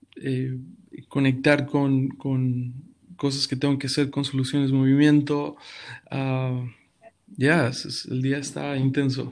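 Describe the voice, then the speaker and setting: A man at a very slow pace with a calm tone, flat monotone intonation and long, frequent pauses. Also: medium pitch for a man. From Mexico City. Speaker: pastor. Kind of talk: podcast interview. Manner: halting.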